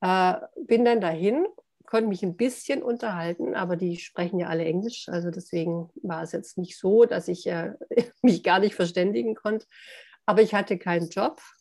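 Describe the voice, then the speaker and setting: A woman uses a plain, everyday voice at medium pitch, with ordinary pitch variation and a moderate pace. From southern Germany (Hohenlohe). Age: 60s. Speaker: author. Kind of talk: interview.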